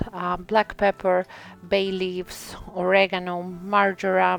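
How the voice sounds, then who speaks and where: Over music in the background, a woman with an Albanian accent speaks at a medium pitch, the sound dry and close with no echo. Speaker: cooking channel host. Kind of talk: cooking tutorial. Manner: hesitant, many fillers.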